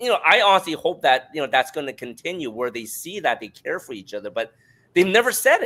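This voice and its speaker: The voice has a bright, sharp tone and vocal fry, moving at a moderate pace in a very clean recording with a silent background. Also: man. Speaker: life coach and author. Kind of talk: interview conversation. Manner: loud.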